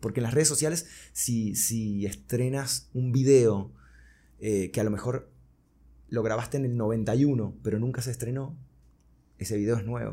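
At a fairly slow pace with long, frequent pauses, a man speaks in a dark, mellow, somewhat breathy tone. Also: medium pitch for a man, ordinary pitch variation. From Venezuela (Caracas), born in Buenos Aires. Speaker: singer-songwriter and music producer. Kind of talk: interview conversation.

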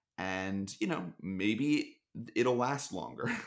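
Using a normal speaking voice with an American accent, a man talks at a fairly slow pace with lively intonation. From US Northeast, Philadelphia. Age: 20s. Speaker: startup marketer. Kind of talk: casual chat.

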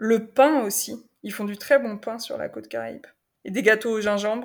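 On a very clean recording with a silent background, a woman speaks at a fairly high pitch with fairly even intonation. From Paris region, France. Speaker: semi-nomadic traveller. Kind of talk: interview testimony. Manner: halting, many repetitions and fillers.

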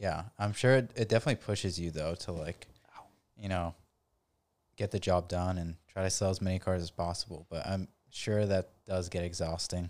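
A man speaks with a very deep, low pitch and fairly even intonation. The recording is very clean, with a silent background. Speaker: car podcast co-host. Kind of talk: casual chat. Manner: fast.

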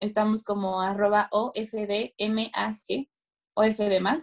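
Very slowly, a woman talks in a fairly high register. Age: 20s. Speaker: fashion journalist. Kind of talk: interview.

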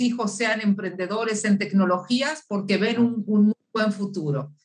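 Here a woman speaks at a very slow pace in a medium pitch. Her pitch varies in an ordinary way. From Uruguay. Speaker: business founder and consultant. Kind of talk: interview. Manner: halting, many fillers.

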